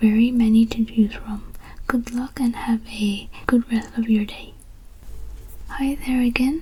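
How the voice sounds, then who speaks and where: Over noticeable background noise, a soft-spoken voice with a calm, soothing tone moves at a very slow pace. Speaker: ASMR content creator. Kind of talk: customer-service roleplay talking to the viewer as a bookstore worker. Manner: soft-spoken, calm, soothing.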